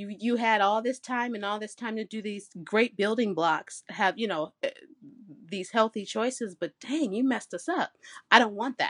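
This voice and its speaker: A woman with an unremarkable speaking voice talks in an American accent at a moderate pace and fairly high pitch, with ordinary pitch variation. The sound is dry and close with no echo, over a quiet background. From Michigan. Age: 30s. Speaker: bikini competitor and fitness coach. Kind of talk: casual chat.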